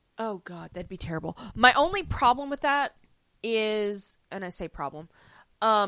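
A woman speaks loudly with lively intonation and an animated, bright, sharp tone. The recording is very clean, with a silent background. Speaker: podcast co-host. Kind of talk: casual chat.

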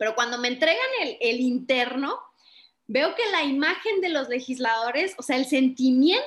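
This woman speaks in a high pitch with lively intonation. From Chihuahua, northern Mexico. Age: 20s. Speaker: political communication strategist. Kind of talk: interview.

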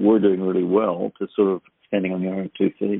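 Here a man speaks with an Australian accent at a fairly quick pace. His pitch is fairly low and his intonation is monotone and flat. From Australia, New South Wales north coast. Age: 60s. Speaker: author and speaker. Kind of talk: interview.

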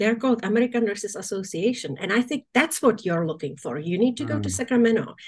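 A woman's somewhat breathy voice at a very fast pace, fairly high in pitch with lively intonation. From Czechoslovakia. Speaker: nursing association executive director. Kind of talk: interview.

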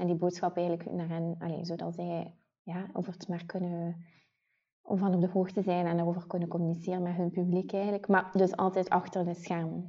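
A woman talks at a fairly quick pace with a Ghent accent. Her pitch is fairly low and her intonation is monotone and flat. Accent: noticeable Ghent Flemish. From Ghent, Belgium. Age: 20s. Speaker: podcast co-host, beauty PR manager. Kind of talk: casual chat.

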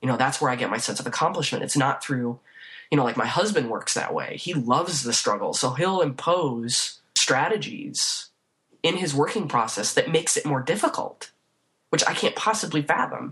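A woman with a Chicago accent talks at a moderate pace in a very deep, low pitch that makes very wide swings. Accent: US Midwest (Chicago area). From northern Illinois (Waukegan, north of Chicago). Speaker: painter. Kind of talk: casual interview. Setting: remote call from her office.

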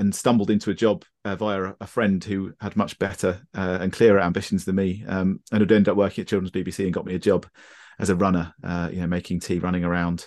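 A man with a very deep, low voice talks very fast. His intonation is monotone and flat over a quiet background. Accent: southern English. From southern England, Brighton. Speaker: photographer. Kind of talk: casual chat. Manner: halting.

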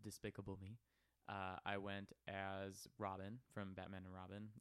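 A man's fairly low voice at a moderate pace, with a dry, close sound and no echo. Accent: American. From Wisconsin, Milwaukee. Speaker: adult film performer. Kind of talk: casual interview.

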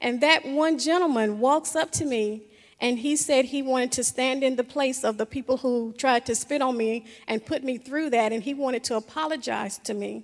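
At a moderate pace, a woman with an American accent speaks at a high pitch with ordinary pitch variation. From US South. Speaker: church member. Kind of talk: panel discussion. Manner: halting.

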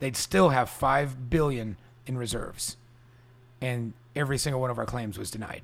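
This man has a plain, everyday voice with an American accent and medium pitch. He talks at a fairly quick pace with fairly even intonation. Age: 40s. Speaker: restaurant owner. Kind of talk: casual interview. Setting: at home.

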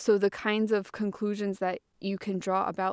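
The speaker has an American accent and a fairly slow pace. The sound is dry and close with no echo, in a very clean recording with a silent background. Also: woman. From Massachusetts, US. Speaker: linguistics researcher. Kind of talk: casual interview chat. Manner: hesitant, filler-heavy.

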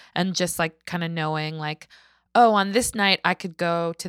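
A woman's fairly low voice at a moderate pace, with ordinary pitch variation, on a very clean recording with a silent background. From Canada. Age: 30s. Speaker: singer-songwriter. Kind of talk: casual chat.

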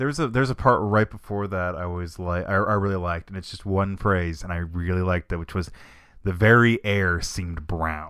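A man with a very deep, low pitch and an American accent, speaking at a fairly quick pace with ordinary pitch variation, on a very clean recording with a silent background. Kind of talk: casual chat.

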